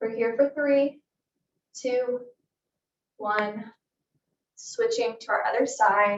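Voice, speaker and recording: A woman with high pitch, a very slow pace and long, frequent pauses. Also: ordinary pitch variation. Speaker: fitness instructor. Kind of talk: exercise class instruction. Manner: soft-spoken; calm.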